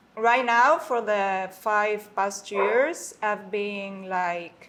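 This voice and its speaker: A woman's medium-pitched voice with a Spanish accent, ordinary pitch variation and a very slow pace. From Mexico City. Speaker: concierge and guest services manager. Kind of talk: casual interview. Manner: halting, many fillers.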